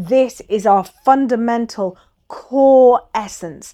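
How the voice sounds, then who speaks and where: A woman with an Irish accent and ordinary pitch variation, on a very clean recording with a silent background. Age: 50s. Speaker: qigong and acupressure teacher. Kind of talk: podcast monologue, instructional.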